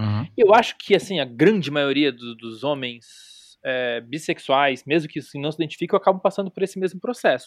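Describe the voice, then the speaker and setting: In a dry, close recording with no echo, a man with a plain, everyday voice talks at a fairly quick pace, fairly high in pitch and with lively intonation. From Brazil, Florianópolis. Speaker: podcaster. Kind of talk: casual chat. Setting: remote recording.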